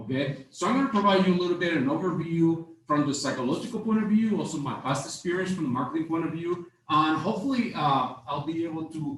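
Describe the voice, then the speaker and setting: Talking at a very fast pace with hardly any pauses, a man with a non-native accent uses a high pitch and lively intonation, amid noticeable background noise and audible room echo. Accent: noticeable foreign. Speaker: marketing instructor. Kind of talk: lecture. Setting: stage with audience. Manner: hesitant, many fillers.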